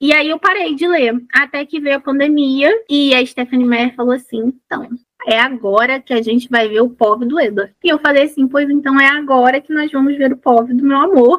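A woman's high pitch with ordinary pitch variation at a moderate pace. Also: hardly any pauses. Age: 20s. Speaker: author and science teacher. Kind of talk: casual chat.

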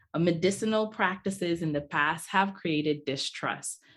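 Against a quiet background, the words come at a moderate pace. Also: woman. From Nigerian-Bahamian family. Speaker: podcast host. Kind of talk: interview conversation.

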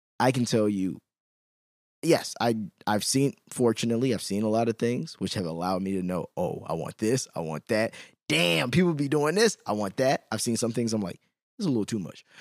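In a normal speaking voice, a man with an American accent talks at a fairly quick pace and medium pitch with lively intonation. The recording is very clean, with a silent background and a dry, close sound with no echo. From Chicago, US. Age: 30s. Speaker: podcast host. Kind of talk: casual interview chat.

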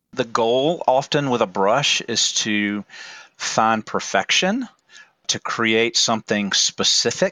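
At a very slow pace, a man talks in a medium pitch with ordinary pitch variation and very even loudness. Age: 40s. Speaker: church formation director and artist. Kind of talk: interview.

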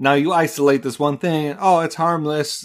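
The recording is very clean with a silent background, carrying a man with an ordinary speaking voice and fairly even intonation. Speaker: podcast host. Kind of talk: podcast monologue and interview.

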